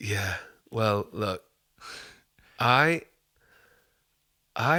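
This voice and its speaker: With a Yorkshire accent, a man talks at a very slow pace in a medium pitch, his tone bright and sharp and his intonation lively, on a very clean recording with a silent background. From Yorkshire, northern England. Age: 30s. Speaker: singer-songwriter. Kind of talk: casual chat.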